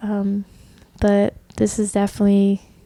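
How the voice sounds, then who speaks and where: A woman's voice sits at a medium pitch. The tone is dark and mellow. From US South, Orlando, Florida. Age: 20s. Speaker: podcast host. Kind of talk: personal testimony monologue. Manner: casual, filler-heavy (um).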